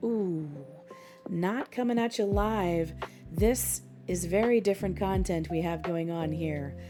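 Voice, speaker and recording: Music in the background behind a woman's fairly slow delivery. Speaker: content creator, streamer, voice actor. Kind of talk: soft ASMR gaming commentary. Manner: soft-spoken, relaxed, humorous.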